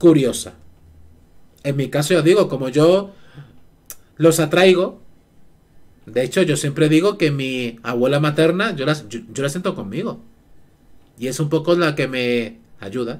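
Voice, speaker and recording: A man talks at a fairly slow pace with long, frequent pauses. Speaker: live streamer. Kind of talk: casual stream chat. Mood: relaxed, storytelling about paranormal. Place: home room. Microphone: headset.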